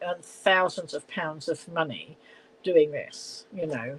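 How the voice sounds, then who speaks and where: A woman speaks with a southern English accent. Her pitch sits in the medium range. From southern England, Middlesex/London area. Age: 70s. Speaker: live-stream host. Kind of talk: casual live-stream chat. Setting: at home. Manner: chatty, rambling with fillers.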